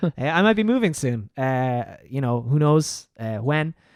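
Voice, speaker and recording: A man with an Irish accent at a medium pitch, in a very clean recording with a silent background and a dry, close sound with no echo. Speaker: musician and gaming podcast co-host. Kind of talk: casual chat. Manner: loud.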